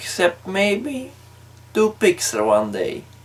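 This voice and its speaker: A man speaks with a non-native accent, his pitch swinging very widely. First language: not English. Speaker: YouTube film ranker. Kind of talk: video commentary.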